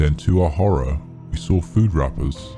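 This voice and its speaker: A man with lively intonation, with music in the background. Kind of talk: horror story narration.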